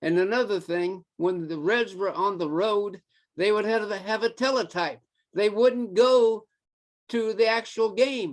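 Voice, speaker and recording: A man's high-pitched voice at a fairly slow pace. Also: ordinary pitch variation, quiet background. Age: 80s+. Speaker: baseball fan. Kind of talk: casual chat.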